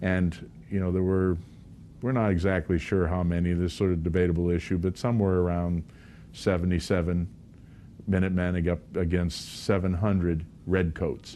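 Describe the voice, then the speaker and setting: Very deep and low, a man's voice carries a dark, mellow tone at a moderate pace, with fairly even intonation and very even loudness. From New England (Lexington, Massachusetts). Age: 60s. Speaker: pastor. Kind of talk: interview.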